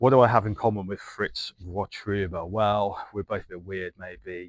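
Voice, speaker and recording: A man with a plain, everyday voice speaks at a fairly low pitch with fairly even intonation, in a very clean recording with a silent background and a dry, close sound with no echo. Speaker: travel and architecture video maker. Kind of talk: casual vlog-style talk to camera.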